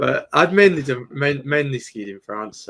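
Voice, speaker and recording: In a bright, sharp tone, a man talks fairly slowly. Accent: British. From Britain. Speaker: crypto trader and YouTuber. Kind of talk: casual chat.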